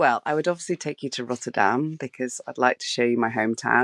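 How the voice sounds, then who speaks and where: In a southern English accent, a woman speaks with a very deep, low pitch and ordinary pitch variation, the sound dry and close with no echo against a quiet background. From southwest England (Bath). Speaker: street photographer. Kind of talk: interview. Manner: hesitant, many fillers.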